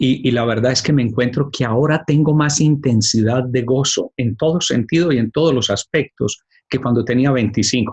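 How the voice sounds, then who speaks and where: Somewhat breathy, a man speaks at a medium pitch. His pace is moderate, with ordinary pitch variation. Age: 60s. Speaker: life coach, podcast host. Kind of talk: casual chat.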